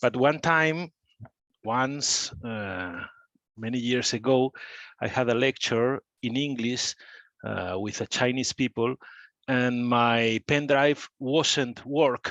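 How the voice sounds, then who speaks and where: A man with a Spanish accent and a medium pitch speaks at a very slow pace with ordinary pitch variation and long, frequent pauses, in a dry, close sound with no echo over a quiet background. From Spain, small village south of Madrid. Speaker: architect and professor. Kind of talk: guest talk on video call. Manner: halting, non-fluent English.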